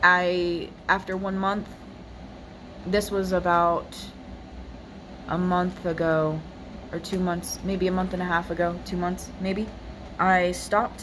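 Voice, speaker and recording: A woman speaks at a very slow pace in a monotone, flat intonation, with long, frequent pauses. Audible room echo and noticeable background noise surround her. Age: 20s. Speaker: personal vlogger sharing faith story. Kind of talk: testimony. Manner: hesitant, many fillers.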